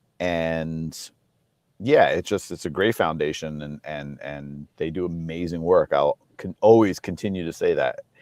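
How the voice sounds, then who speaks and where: A man's voice with big swings in loudness, dry and close with no echo, over a quiet background. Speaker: toy company designer. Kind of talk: casual chat.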